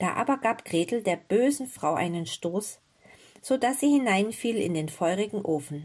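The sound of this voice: Lively intonation from an unforced reading voice.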